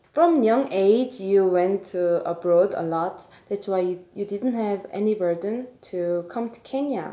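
A woman with an unremarkable speaking voice talks at medium pitch and a fairly slow pace, with ordinary pitch variation. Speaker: podcast host. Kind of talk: interview.

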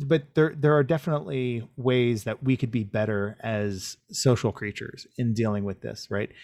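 On a very clean recording with a silent background, a man with an American accent has an unremarkable speaking voice at medium pitch with ordinary pitch variation. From USA. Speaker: video game director. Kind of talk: casual interview. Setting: livestream on his channel.

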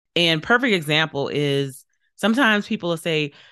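Against a quiet background, a woman's bright, sharp voice moves through very wide pitch swings. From New Orleans, Louisiana. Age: 40s. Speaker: pharmacist and self-care coach. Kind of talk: podcast interview.

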